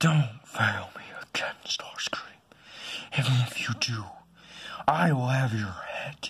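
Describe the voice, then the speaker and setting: Using a raspy put-on character voice at medium pitch, a man speaks fairly slowly with long, frequent pauses. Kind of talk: fan-made stop-motion voice acting. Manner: menacing, threatening.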